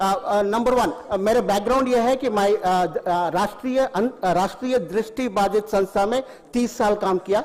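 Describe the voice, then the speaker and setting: Ordinary pitch variation, very even loudness and hardly any pauses, over noticeable background noise. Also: man, high pitch for a man. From Tamil Nadu, India. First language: Tamil (speaking Hindi). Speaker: retired beekeeper and farmer. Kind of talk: public speech at event. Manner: halting, many fillers.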